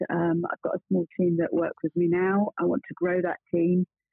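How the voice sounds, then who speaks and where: This woman has an English accent and a medium-pitched voice. She talks at a moderate pace. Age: 50s. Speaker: bookkeeping practice founder. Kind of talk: interview.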